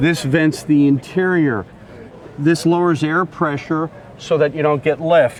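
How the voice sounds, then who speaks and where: Fairly slow, fairly high-pitched speech from a man, over noticeable background noise. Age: 60s. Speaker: classic car owner. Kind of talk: casual interview.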